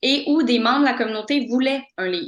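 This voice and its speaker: This woman has a high pitch and lively intonation. She speaks at a fairly quick pace. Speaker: postdoctoral researcher. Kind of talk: lecture. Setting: video call. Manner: fast; halting.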